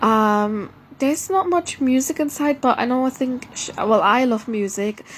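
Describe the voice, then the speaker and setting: The speaker has a non-native accent. The recording is very clean, with a silent background. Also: woman. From Germany. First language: not English. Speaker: vlogger. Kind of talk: casual monologue. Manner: halting, many fillers and restarts.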